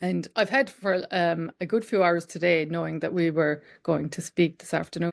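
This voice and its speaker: Speaking at a moderate pace with hardly any pauses, a woman with an Irish accent uses a fairly low pitch and ordinary pitch variation against a quiet background. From Ireland, County Limerick. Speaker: podcast host. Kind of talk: interview.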